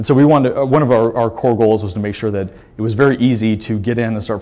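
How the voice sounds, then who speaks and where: Speech comes at a very fast pace with fairly even intonation. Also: man. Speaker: pinball hardware developer presenting. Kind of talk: conference presentation. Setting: stage with audience. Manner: halting, many fillers. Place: hall.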